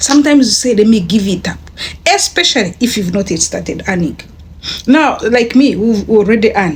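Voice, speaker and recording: A woman with a fairly high voice talks at a fairly quick pace with lively intonation against noticeable background noise. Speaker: online business vlogger. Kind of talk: casual vlog talk. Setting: bedroom. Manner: animated; halting.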